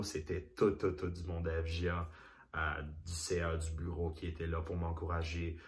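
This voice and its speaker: This man's voice is very deep and low, and somewhat breathy. He speaks at a fairly slow pace, with audible room echo. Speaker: singer, former youth association president. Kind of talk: interview testimony. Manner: halting, many repetitions.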